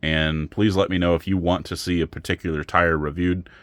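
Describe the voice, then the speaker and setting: A man speaks with a very deep, low pitch. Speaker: RC crawler YouTuber. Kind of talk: casual vlog talk to camera. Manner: monotone; rambling, hesitant with fillers.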